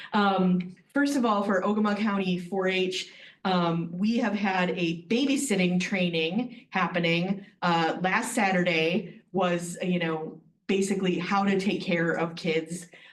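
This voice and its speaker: Speaking at a fairly slow pace, a woman keeps a medium pitch with ordinary pitch variation. Her loudness stays very even, and audible room echo is present. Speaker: extension district director. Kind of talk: meeting report. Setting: county board meeting.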